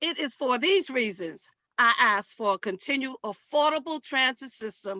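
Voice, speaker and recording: With a New York accent, a woman speaks fairly slowly at a high pitch with lively intonation. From Harlem, New York. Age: old. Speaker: church women's group member. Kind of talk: public hearing testimony.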